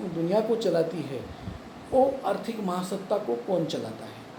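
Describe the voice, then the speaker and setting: A man with a Marathi accent speaks in a high voice with lively intonation, his words carrying an audible room echo over noticeable background noise. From Pune, Maharashtra, India. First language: Marathi (speaking Hindi). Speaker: YouTube commentator. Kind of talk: opinion monologue to camera. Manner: halting, many fillers and restarts.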